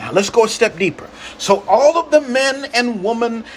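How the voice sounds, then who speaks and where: There is noticeable background noise behind this man. His intonation is lively and his pitch extremely high. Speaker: pastor. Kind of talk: sermon, rhythmic repetitive preaching flow with call-and-response. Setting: livestream to online audience. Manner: fervent and incantatory, repeating phrases in escalating cadence; exhorting, calls for audience amens.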